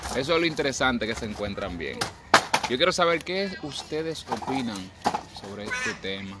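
The intonation is lively. Noticeable background noise and audible room echo surround the voice. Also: man. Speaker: radio host. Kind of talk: casual chat. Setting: outdoors on the street.

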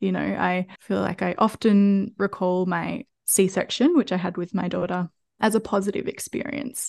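A woman talks with an Australian accent at a moderate pace. The background is quiet. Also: dry, close sound with no echo. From Australia, country Victoria. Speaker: podcast host and mother. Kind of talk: casual interview chat.

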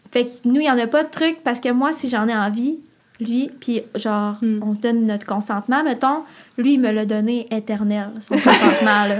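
A woman speaks at a moderate pace with ordinary pitch variation. Her pitch is fairly high. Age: 20s. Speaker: podcast listener guest. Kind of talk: casual chat. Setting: studio.

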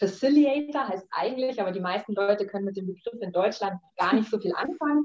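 A woman talks at a fairly quick pace in a normal speaking voice, fairly high in pitch with lively intonation. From Munich, Bavaria, Germany. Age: 30s. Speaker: life design coach. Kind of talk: casual interview.

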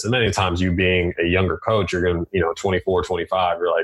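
A man talks at a fast pace in a low voice. His pitch barely moves.

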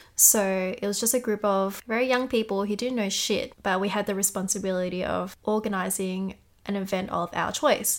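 On a very clean recording with a silent background, a woman with an Australian accent talks at a moderate pace and medium pitch, her intonation fairly even. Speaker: podcast co-host. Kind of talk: casual chat.

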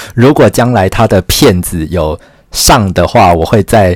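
A man speaks at a fairly slow pace in a very deep, low pitch. The recording is very clean, with a silent background. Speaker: podcast host and writer. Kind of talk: solo podcast monologue.

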